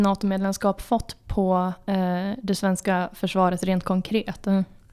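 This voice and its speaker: A woman at medium pitch and a moderate pace, on a very clean recording with a silent background. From Jämtland, Sweden. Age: 20s. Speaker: podcast host, political editor. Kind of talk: casual interview chat.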